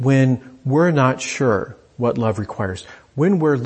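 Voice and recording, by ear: The pitch shifts by ordinary amounts. The speaker is reading aloud in a natural voice.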